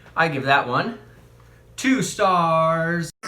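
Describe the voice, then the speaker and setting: A man speaks in an animated tone at a fairly high pitch, bright and sharp. There is audible echo in the room. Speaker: youtuber reviewing beers. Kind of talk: casual product review vlog.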